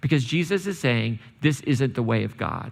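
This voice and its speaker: An unremarkable speaking voice from a man, fairly quick in pace, with lively intonation. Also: very clean recording, silent background. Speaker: church preacher. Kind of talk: sermon, casual and conversational. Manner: relaxed, humorous.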